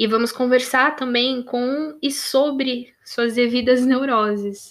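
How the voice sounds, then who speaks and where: On a very clean recording with a silent background, a woman speaks very slowly in a high pitch with fairly even intonation. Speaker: podcast host. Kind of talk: monologue.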